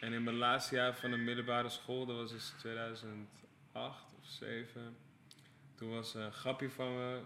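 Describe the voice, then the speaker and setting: Flat, monotone intonation at a fairly slow pace, with long, frequent pauses and audible room echo. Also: man. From Amsterdam-Noord, Netherlands. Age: 30s. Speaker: creative director for music videos and album covers. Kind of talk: casual podcast interview.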